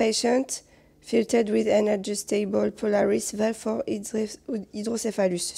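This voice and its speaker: Putting on a character voice, a woman talks at a fairly slow pace in a raspy, medium-pitched voice with fairly even intonation. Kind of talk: reading English medical text aloud.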